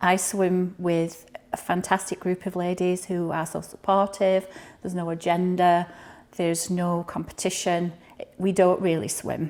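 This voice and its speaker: A woman with a Highland Scottish accent, medium pitch, monotone, flat intonation and a fairly slow pace. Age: 60s. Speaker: cancer patient. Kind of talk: testimony.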